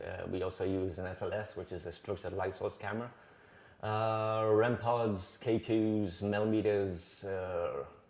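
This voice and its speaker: The speech moves at a moderate pace, with big swings in loudness. Noticeable background noise runs underneath. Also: man. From northeast England. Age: 50s. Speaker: paranormal investigator. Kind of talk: interview. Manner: calm.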